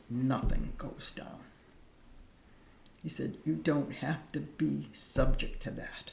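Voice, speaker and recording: Audible room echo surrounds the voice. Delivery is very slow. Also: woman. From Cambridge, Massachusetts. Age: 80s+. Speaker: deacon. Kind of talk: casual chat.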